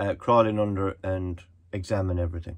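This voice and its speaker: Against a quiet background, a man with an Irish accent speaks at a very deep, low pitch, somewhat breathy and monotone, at a moderate pace. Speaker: solo sailor vlogger. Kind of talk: casual video diary. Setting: on a boat at anchor. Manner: whispering; rambling, hesitant.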